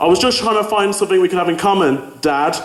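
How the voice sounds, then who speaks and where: With audible room echo and noticeable background noise, a man talks at a high pitch in a Birmingham accent. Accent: Brummie. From Birmingham, England. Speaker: student comedian. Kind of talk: stand-up. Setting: stage with audience.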